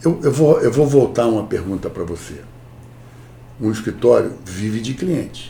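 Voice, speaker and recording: A man at a moderate pace with lively intonation. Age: 60s. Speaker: corporate lawyer. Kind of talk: interview. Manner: animated.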